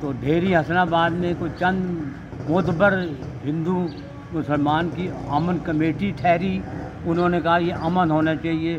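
Over noticeable background noise, a man talks in a high-pitched voice. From Rawalpindi, Pakistan. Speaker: partition eyewitness. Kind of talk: interview answer. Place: street.

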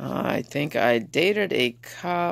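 Fairly low female voice with vocal fry and lively intonation, at a very slow pace, in a dry sound with no echo. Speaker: vlogger. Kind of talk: casual vlog chat. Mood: playful, animated storytelling. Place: home room. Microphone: phone near.

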